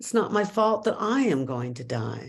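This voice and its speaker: A woman speaks at a fairly slow pace with vocal fry. Her pitch swings very wide. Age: 80s+. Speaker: Zen teacher. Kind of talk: dharma talk. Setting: video call.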